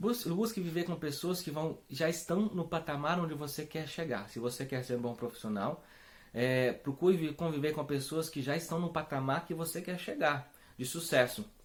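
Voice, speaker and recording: A man with a fairly high voice talks at a moderate speed, his pitch varying in an ordinary way. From Brazil, Espírito Santo. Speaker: religious community founder. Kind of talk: spiritual talk. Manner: hesitant, many fillers.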